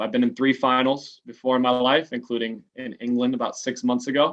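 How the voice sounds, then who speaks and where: A man talks at a fairly quick pace with an American accent. His medium-pitched voice stays monotone and flat. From Los Angeles, San Fernando Valley. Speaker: American football quarterback. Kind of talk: interview. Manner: casual.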